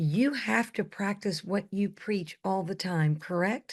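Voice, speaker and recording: A woman at a medium pitch and a very slow pace, with ordinary pitch variation against a quiet background. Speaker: talk show host. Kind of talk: interview.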